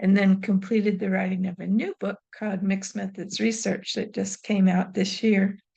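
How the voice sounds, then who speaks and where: Speaking at a moderate pace with hardly any pauses, a woman uses a medium pitch and a monotone, flat intonation, her voice somewhat breathy with a dark, mellow tone. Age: 70s. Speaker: retired professor and evaluation consultant. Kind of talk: interview.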